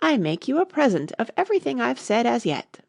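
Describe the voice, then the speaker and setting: A woman's raspy, put-on character voice, smug in tone and fairly high in pitch, swinging very widely in pitch at a fairly quick pace. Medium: read story. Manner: smug, fussy, moralizing.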